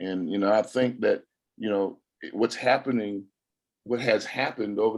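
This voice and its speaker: A man with an American accent has an ordinary speaking voice, fairly low in pitch with fairly even intonation. The background is quiet. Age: 60s. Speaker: former college football player. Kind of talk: press conference interview. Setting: video call.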